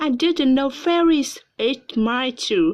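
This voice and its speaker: Putting on a character voice, a woman speaks with a high pitch at a fairly slow pace. The background is quiet. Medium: read story.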